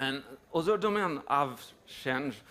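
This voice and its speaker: A man with a French accent speaks at a fairly slow pace in a fairly high pitch with ordinary variation. His tone is bright and sharp. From France. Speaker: tech company executive. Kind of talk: conference talk. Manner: halting, many fillers.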